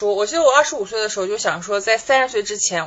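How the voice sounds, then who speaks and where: A woman with a fairly high pitch speaks in a plain, everyday voice with ordinary pitch variation. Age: 30s. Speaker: podcast co-host. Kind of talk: casual chat.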